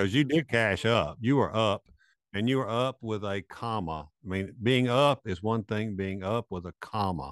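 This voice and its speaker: A normal speaking voice at a moderate pace with ordinary pitch variation, heard dry and close with no echo against a quiet background. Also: man, fairly low pitch for a man. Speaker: co-host, craps coach. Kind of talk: casual chat. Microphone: good-sounding mic.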